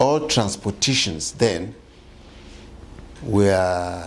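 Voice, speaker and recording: Very slowly, a man talks in a fairly low pitch with very wide pitch swings. Audible room echo fills the recording. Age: 60s. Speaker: community leader. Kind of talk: interview.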